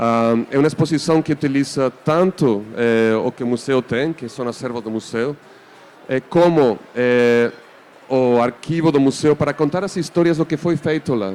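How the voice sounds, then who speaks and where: Over noticeable background noise, a man with a non-native accent speaks fairly slowly at medium pitch with ordinary pitch variation. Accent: foreign accent in Portuguese. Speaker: museum artistic director. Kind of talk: panel discussion moderation. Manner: hesitant, many fillers.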